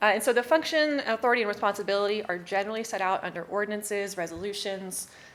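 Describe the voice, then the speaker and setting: A woman at a medium pitch, fairly quick pace, ordinary pitch variation. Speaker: city secretary giving staff training. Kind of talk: training presentation. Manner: fast.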